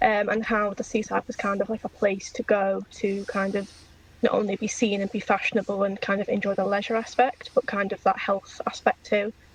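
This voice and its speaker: Over noticeable background noise, the speaker talks at a fairly quick pace in a monotone, flat intonation with a slight Liverpool accent. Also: woman, medium pitch for a woman. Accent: slight Liverpool twang. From England, Liverpool area. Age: 20s. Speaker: PhD researcher, podcast guest. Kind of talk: casual interview chat.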